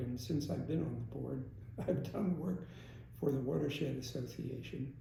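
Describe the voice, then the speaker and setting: With noticeable background noise around him, a man talks at a moderate pace. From Stroudsburg, Pennsylvania. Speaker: aquatic biologist. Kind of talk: interview answer.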